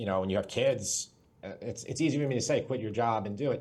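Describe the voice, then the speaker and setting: This man speaks in a New York accent with very wide pitch swings. His voice is somewhat breathy. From Long Island, New York. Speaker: cooking YouTuber and entrepreneur. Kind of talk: interview.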